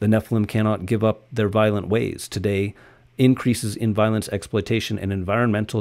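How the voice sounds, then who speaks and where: A dramatic tone at a fairly quick pace. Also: man. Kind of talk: audiobook-style reading aloud of a conspiracy text, with a short chatty intro. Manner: earnest, urgent and dramatic, with a slightly sarcastic aside and self-corrections.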